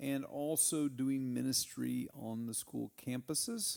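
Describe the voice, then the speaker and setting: With a Texan accent and a dark, mellow tone, a man talks at a very slow pace and medium pitch with lively intonation. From Texas, Snyder. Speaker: church member, former ministry worker. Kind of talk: testimony.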